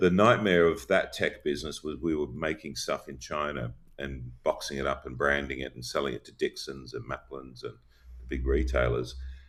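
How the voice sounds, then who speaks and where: A man with an Australian accent speaks at a moderate pace. His voice has vocal fry and lively intonation. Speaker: company founder and CEO. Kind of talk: interview.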